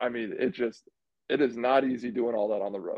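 This man speaks with an American accent at a fairly quick pace. He has a medium pitch and a plain, everyday voice. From central Indiana. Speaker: college basketball podcast co-host, former player. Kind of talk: casual chat.

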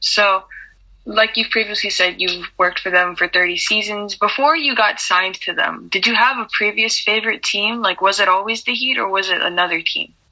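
A woman is talking at a moderate pace while noticeable background noise carries on behind her. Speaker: podcast correspondent.

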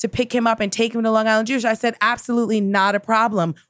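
Talking at a very fast pace, a woman with an American accent sounds animated, her pitch fairly high, on a very clean recording with a silent background. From New York (Queens). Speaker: comedian. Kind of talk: casual chat.

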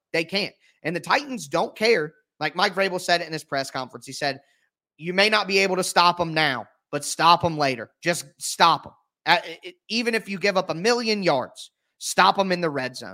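A bright, sharp voice with an American accent, big swings in loudness and a moderate pace, in a very clean recording with a silent background. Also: man, high pitch for a man. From Ohio, US. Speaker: sports podcast host and writer. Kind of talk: casual sports analysis chat.

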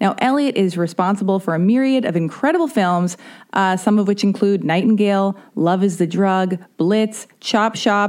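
A woman's medium-pitched voice, slightly mellow in tone, at a moderate pace with ordinary pitch variation.

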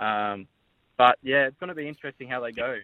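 Speaking with an Australian accent, a man talks at a very fast pace. His pitch is medium and his intonation fairly even. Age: 20s. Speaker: caller. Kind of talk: radio call-in. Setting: phone call.

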